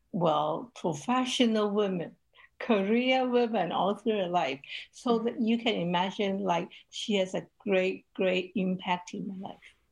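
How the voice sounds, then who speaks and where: Against a quiet background, the speaker talks at a fairly slow pace in a Cantonese accent with ordinary pitch variation. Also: woman, medium pitch for a woman. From Hong Kong. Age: 70s. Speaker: ministry leader and women's advocate. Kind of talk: casual interview.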